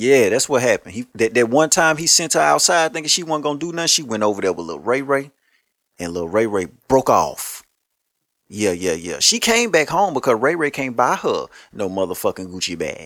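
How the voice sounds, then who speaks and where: Speaking at a fairly quick pace, a man with a medium pitch and vocal fry sounds animated, his pitch swinging very widely. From Louisiana (Shreveport). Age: 30s. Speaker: podcast host. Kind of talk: casual monologue.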